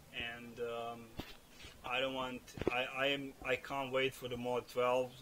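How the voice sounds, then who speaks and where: Monotone, flat intonation from a man of medium pitch, with noticeable background noise. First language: not English. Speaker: gaming video creator. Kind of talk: gameplay build commentary. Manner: halting, many fillers and repeats. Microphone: cheap non-professional microphone, audible breathing.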